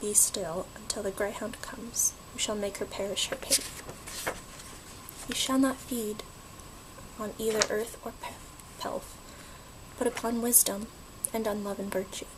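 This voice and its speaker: Long, frequent pauses break up the speech. Noticeable background noise is present throughout. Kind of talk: poetry reading. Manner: soft-spoken, relaxing.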